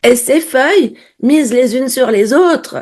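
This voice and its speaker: The voice is a woman's, high in pitch. She speaks at a very slow pace. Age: 60s. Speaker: vlogger. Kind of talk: casual video diary. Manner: conversational, direct address.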